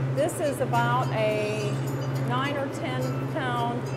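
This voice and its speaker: Music playing behind a woman's voice. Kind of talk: interview answer. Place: factory. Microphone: lapel.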